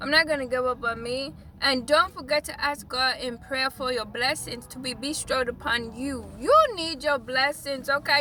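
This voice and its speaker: A woman speaks at a moderate pace in a high, raised and projected voice with an animated tone. Her pitch varies in an ordinary way, and there is noticeable background noise. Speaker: life, business and spiritual coach. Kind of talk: casual vlog monologue.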